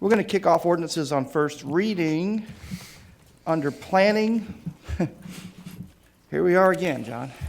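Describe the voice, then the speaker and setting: A man's high pitch with ordinary pitch variation, a fairly slow pace, and long, frequent pauses. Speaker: city council committee chair. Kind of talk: council meeting chairing.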